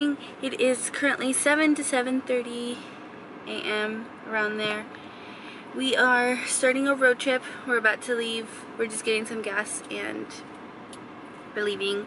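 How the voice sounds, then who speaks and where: Speaking at a fairly slow pace with long, frequent pauses, a woman uses a high pitch and fairly even intonation over noticeable background noise. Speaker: vlogger. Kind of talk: casual vlog chat. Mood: calm, sleepy morning. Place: car. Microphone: phone near.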